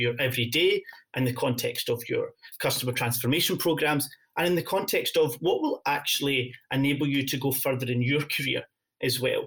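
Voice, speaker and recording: A man is speaking. He has a Scottish accent. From Scotland. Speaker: partner enablement lead at a software company. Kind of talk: podcast interview. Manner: frequent fillers and hesitations.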